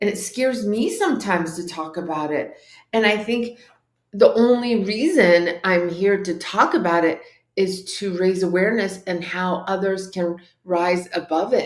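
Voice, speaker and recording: A woman speaks with a Californian accent. Her pitch is medium. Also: ordinary pitch variation, moderate pace. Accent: American, California. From Orange County, California (born in Tehran, Iran). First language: Farsi. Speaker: life coach and author. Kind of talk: interview testimony.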